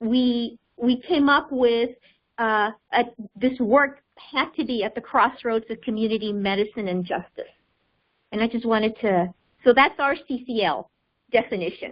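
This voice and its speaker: A woman with a fairly high pitch talks at a moderate pace with ordinary pitch variation. She leaves long, frequent pauses. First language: not English. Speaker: public health project leader. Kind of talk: webinar presentation. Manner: halting, many fillers.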